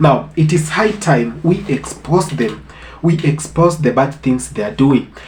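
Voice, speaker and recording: Noticeable background noise accompanies a man speaking at a fairly slow pace. His fairly high voice shows ordinary pitch variation. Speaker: reaction commentator. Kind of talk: casual talk to camera.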